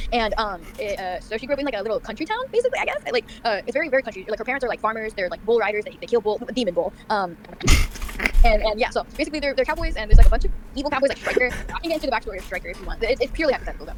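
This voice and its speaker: A woman talks loudly at a very fast pace, her high voice full of lively intonation, with noticeable background noise behind her. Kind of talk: casual rant about show lore. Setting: kitchen at home with people around. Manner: fast, halting with many fillers.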